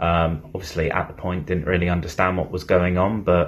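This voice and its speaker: At a very deep, low pitch, a man with a southern English accent speaks at a moderate pace. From southern England, Bournemouth. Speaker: NFL fan. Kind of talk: self-recorded fan testimony.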